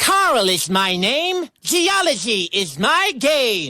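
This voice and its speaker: A female-sounding voice puts on a character voice, high in pitch and moving through very wide swings. The delivery is very slow. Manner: playful, jingle-like.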